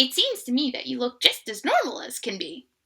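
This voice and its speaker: Using a put-on character voice, a woman speaks at a fairly quick pace in a croaky, high register. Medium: read story. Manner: casual, plain-spoken.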